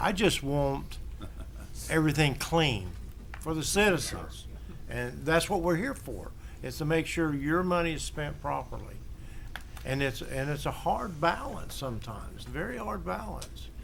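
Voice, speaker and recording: With an American accent, a man talks through long, frequent pauses, and room echo can be heard. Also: fairly slow pace. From Florida, Sebring. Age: 70s. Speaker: city council member. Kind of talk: council meeting debate.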